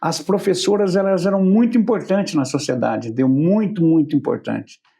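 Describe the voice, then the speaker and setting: Speaking at a fairly quick pace, a man uses a high voice with a dark, mellow tone and very even loudness. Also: lively intonation. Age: 70s. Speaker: talk show host. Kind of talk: casual interview chat.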